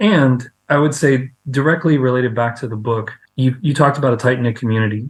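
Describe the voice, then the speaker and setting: Somewhat breathy and medium in pitch, a man talks at a fairly quick pace with ordinary pitch variation. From South Louisiana (Cajun). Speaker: author. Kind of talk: interview.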